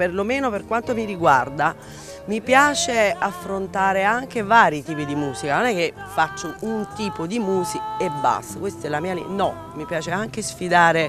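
Over clear background music, a woman talks at a moderate pace, and the sound is dry with no echo. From Naples, Italy. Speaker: singer. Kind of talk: interview answer. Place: waterside. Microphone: handheld.

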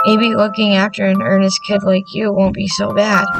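A put-on character voice, raspy and pitched in the middle range. It moves at a moderate pace with music playing in the background. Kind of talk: reading game lines aloud, playful voicing. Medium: read story. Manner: gruff, casual. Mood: gruff but warm.

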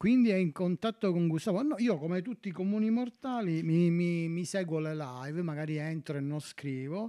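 A man with a high pitch and a dark, mellow tone speaks at a moderate pace. His intonation is lively, and the background is quiet. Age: 40s. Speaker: streamer. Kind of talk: casual live stream chat. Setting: home. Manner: animated. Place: home room. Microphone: new home audio setup; studio mic.

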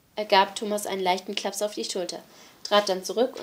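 An unforced reading voice carries the whole clip.

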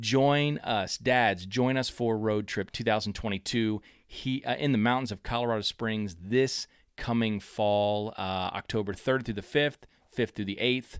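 In a very clean recording with a silent background, a man with an unremarkable speaking voice talks fairly slowly at a medium pitch with fairly even intonation. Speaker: podcast host. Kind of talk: interview.

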